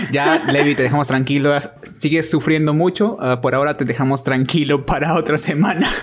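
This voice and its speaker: A man talks with a fairly high pitch. Noticeable background noise can be heard. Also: ordinary pitch variation, fairly quick pace. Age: 20s. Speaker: podcast co-host. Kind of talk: casual chat. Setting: at home.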